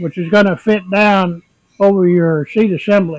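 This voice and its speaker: The pace here is fairly slow. The speaker is a man. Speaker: woodworker. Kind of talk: woodworking tutorial talk to camera.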